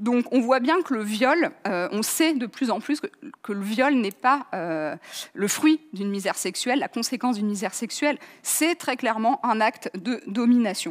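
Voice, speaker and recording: Against a quiet background, an ordinary speaking voice moves at a fairly slow pace. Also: woman, fairly high pitch for a woman. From France. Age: 30s. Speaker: journalist and author; conference speaker. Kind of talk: lecture. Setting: online conference. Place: hall. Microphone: headset.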